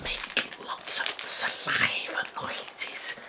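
A man whispers in a breathy voice. Loud background noise runs behind him. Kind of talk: mocking ASMR-style demonstration. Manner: exaggerated close breathy ASMR whisper. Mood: amused, laughing. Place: home room. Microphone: webcam.

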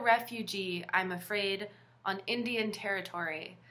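A woman speaks with an American accent. Her tone is bright and sharp, and her intonation fairly even. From US South, Virginia. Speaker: literature teacher. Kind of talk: lecture. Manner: halting. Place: home room. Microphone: webcam.

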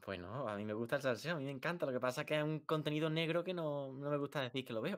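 Words come at a very fast pace with ordinary pitch variation over a quiet background. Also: man, fairly high pitch for a man. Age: 20s. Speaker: youtuber. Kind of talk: heated debate; heated debate chat. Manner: halting. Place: home room.

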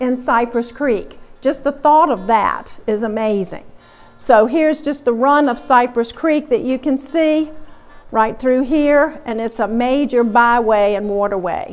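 With faint music in the background, a woman speaks in a high voice at a fairly slow pace, using ordinary pitch variation. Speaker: museum lecturer. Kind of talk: lecture. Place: hall. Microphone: lapel.

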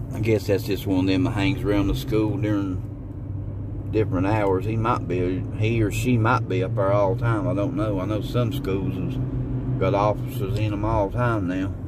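Loud background noise runs beneath speech delivered at a moderate pace. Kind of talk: casual vlog chat. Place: car. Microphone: phone near.

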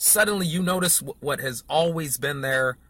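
The tone is bright and sharp. The sound is dry, with no echo. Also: man. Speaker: marketing coach. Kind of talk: casual vlog lecture. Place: car. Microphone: phone near.

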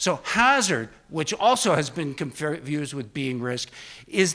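A man speaks at a fairly slow pace. His tone is bright and sharp. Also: quiet background. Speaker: conference lecturer. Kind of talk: lecture. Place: hall. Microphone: handheld.

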